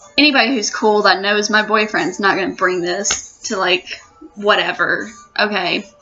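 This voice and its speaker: Medium-pitched woman at a moderate pace, ordinary pitch variation, music in the background. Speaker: youtuber. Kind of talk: rant. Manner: animated.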